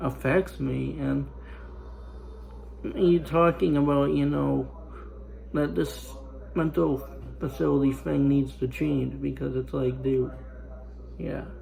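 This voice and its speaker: With audible room echo, a man speaks at a very slow pace, leaving long, frequent pauses. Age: 20s. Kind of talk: casual monologue. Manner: halting, repetitive fillers.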